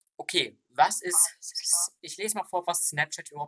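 A high-pitched man with a bright, sharp tone, in a dry, close sound with no echo. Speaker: podcast host. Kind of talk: casual chat.

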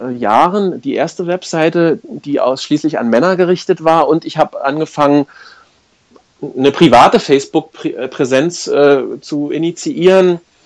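Fairly high for a man, the voice moves fairly slowly with ordinary variation in pitch. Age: 40s. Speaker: life coach. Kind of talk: interview. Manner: hesitant, many filler sounds.

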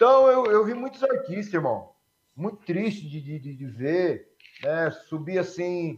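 A man at a very slow pace and high pitch, with very wide pitch swings and big swings in loudness. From Brazil, Santo André (São Paulo metro area). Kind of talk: testimony. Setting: video call from home.

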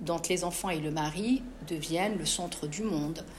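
A very slow, somewhat breathy delivery with lively intonation and audible room echo. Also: woman. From Morocco, Casablanca. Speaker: author. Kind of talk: interview at a live book talk.

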